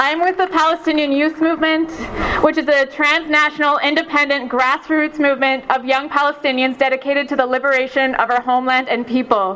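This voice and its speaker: Against noticeable background noise, a woman with a high pitch speaks at a fairly quick pace, her intonation fairly even and her loudness very even. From Palestine. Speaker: Palestinian youth movement speaker. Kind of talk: rally speech. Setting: outdoor rally with crowd. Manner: passionate, forceful, emphatic, rapid-fire.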